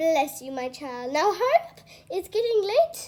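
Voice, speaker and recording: Putting on a character voice, a woman projects at an extremely high pitch and a moderate pace. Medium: read story. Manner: warm, fussy, affectionate.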